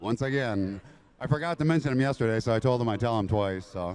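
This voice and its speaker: Using lively intonation, a man talks at a fairly quick pace in an ordinary speaking voice. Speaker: off-road truck racer. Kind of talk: post-race interview.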